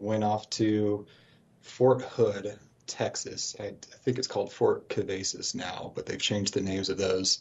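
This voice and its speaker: A somewhat breathy man with an American accent at a fairly slow pace. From US West, Colorado Springs. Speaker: financial advisor, former army helicopter pilot. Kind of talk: interview. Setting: Skype call.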